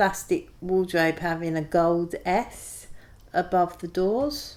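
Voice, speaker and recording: A woman's medium-pitched voice with a London accent, at a fairly slow pace. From east London, Hackney and Ilford. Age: 40s. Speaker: oral history interviewee. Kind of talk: casual reminiscing interview.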